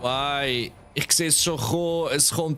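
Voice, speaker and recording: With music in the background, a man speaks very slowly at a fairly high pitch. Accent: Swiss German. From Switzerland. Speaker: streamer. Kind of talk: live gameplay stream chat. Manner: casual, animated.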